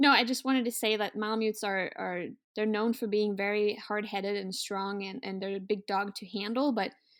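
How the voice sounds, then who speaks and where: A fairly quick, monotone delivery with flat intonation and a Norwegian accent, on a very clean recording against a silent background. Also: woman. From Norway. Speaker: sled dog musher and outdoors content producer. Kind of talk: casual interview conversation.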